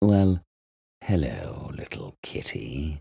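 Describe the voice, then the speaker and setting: Using a put-on character voice, a man pitches his speech very deep and low. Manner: sly.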